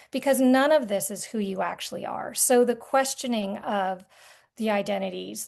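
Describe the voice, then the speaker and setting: Over a quiet background, a woman with an American accent and an ordinary speaking voice talks at medium pitch and a fairly slow pace. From rural Vermont, US. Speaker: artist and art therapy guide. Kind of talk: podcast interview conversation.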